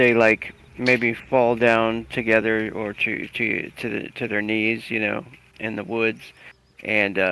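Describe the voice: Simply reading aloud, plainly.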